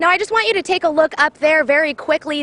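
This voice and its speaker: Someone with a raised, projected voice speaks with lively intonation amid noticeable background noise. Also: woman. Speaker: TV news reporter and anchor. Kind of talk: TV news live stand-up report.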